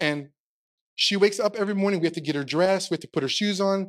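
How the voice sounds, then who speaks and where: Against a quiet background, a man talks at a very fast pace. His pitch is high for a man, with ordinary variation. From Texas. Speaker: pastor. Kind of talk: sermon. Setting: stage with audience. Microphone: handheld.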